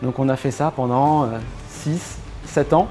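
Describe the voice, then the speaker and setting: Music plays in the background. Over it, a man speaks in a fairly high voice. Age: 30s. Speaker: shop owner. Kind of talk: interview. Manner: hesitant, many fillers.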